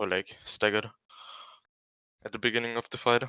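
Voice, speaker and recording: A man's medium-pitched voice with a non-native accent. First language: not English. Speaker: esports player. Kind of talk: team game review. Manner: halting.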